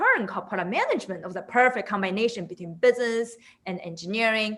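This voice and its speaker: A woman with a non-native accent, fairly high pitch, a bright, sharp tone and lively intonation. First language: not English. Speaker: product management director. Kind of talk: webinar interview.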